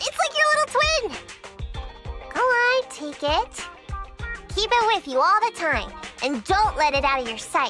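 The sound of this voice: A woman does a put-on character voice at an extremely high pitch, bright and sharp, with big pitch swings. She leaves long, frequent pauses while faint music plays in the background. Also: fairly slow pace.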